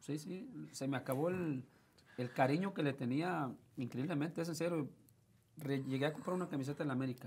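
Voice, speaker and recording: Speaking with a Mexican accent, a man keeps a moderate pace and lively intonation. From Mexico, Tepic, Nayarit. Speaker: former footballer. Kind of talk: interview. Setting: studio. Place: studio. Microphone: lapel.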